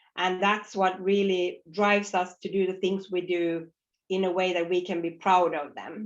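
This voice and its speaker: Her intonation monotone and flat, a woman with a Nordic accent speaks at a medium pitch. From northern Sweden, Finnish parents. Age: 40s. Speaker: fintech co-founder and CEO. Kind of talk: conference talk. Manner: loud and clear; repetitive false starts.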